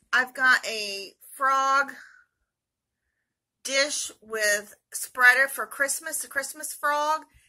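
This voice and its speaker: A woman's voice with lively intonation against a quiet background. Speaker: reseller showing purchases. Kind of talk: haul video commentary. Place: home room. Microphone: phone near.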